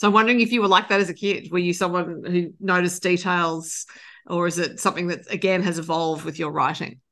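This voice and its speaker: Very fast and fairly even in intonation, a woman with an Australian accent and a bright, sharp tone speaks at a fairly low pitch against a quiet background. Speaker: podcast interviewer. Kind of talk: interview.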